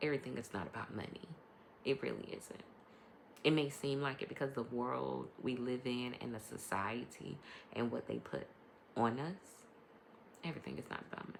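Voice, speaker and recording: A woman speaks with vocal fry at a very deep, low pitch and ordinary pitch variation. Her pace is fairly quick, broken by long, frequent pauses. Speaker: podcast host and life coach. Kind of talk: casual monologue podcast. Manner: varies between quiet and loud; hesitant, many ums.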